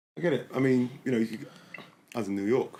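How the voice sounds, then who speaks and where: With an English accent, a man talks using lively intonation. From England. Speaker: podcast host, former American football player. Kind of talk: casual chat.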